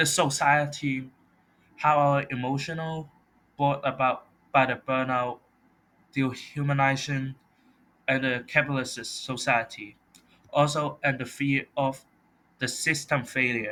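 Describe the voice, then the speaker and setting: With a non-native accent, a man speaks at a fairly slow pace in a fairly high pitch, his tone bright and sharp, his intonation monotone and flat, with long, frequent pauses. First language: not English. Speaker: college student. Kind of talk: class presentation.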